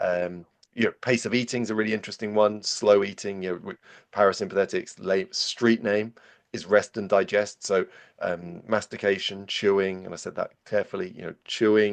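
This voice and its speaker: A man with a British accent speaks at a fairly low pitch with fairly even intonation. His loudness swings widely against a quiet background. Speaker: physiologist. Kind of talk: podcast interview. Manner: fast; repetitive stammering restarts.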